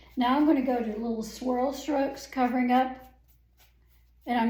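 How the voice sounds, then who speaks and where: A woman's high voice with ordinary pitch variation and audible room echo. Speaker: painting instructor. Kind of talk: tutorial.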